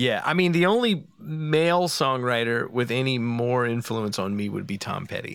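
A man with an American accent has an unremarkable speaking voice. His pitch is medium and his intonation is lively. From Philadelphia, US. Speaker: musician. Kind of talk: casual chat.

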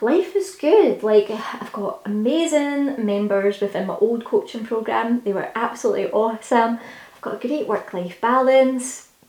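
A woman talks at a moderate pace with a fairly high pitch. Noticeable background noise runs under her voice. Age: 30s. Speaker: podcast host. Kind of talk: solo podcast monologue. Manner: casual, with frequent fillers.

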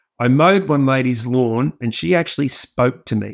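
With an Australian accent, a man speaks over a quiet background. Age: 50s. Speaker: keynote speaker and business leader. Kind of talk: podcast interview.

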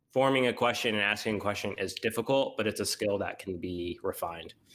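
Speaking at a moderate pace with an American accent, a man has a fairly low pitch and an unremarkable speaking voice. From US Midwest, Missouri. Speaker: podcast co-host, instructional designer. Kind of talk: casual chat.

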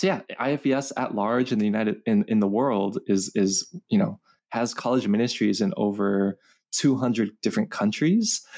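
A man with an American accent has an ordinary speaking voice at medium pitch. His lively intonation moves at a moderate pace with very even loudness. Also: very clean recording, silent background. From Los Angeles, California. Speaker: campus ministry communications manager. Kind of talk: interview.

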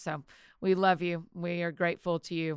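In a Southern US accent, a woman speaks with a monotone, flat intonation. Her voice is fairly low in pitch. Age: 40s. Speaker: author and podcaster. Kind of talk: interview conversation.

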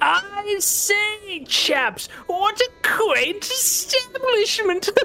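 A man uses a put-on character voice pitched extremely high and speaks at a very slow pace. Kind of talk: posh, affected upper-class. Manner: theatrical, menacing.

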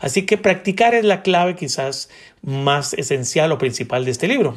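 A man's somewhat breathy, fairly slow speech on a very clean recording with a silent background. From Colombia, Bogotá. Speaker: podcast host. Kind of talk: book review talk.

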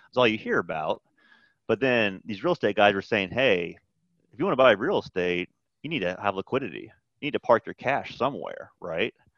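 A plain, everyday voice from a man, medium in pitch and fairly quick, with lively intonation and a dry, close sound with no echo against a quiet background. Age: 40s. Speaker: accountant. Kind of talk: casual chat.

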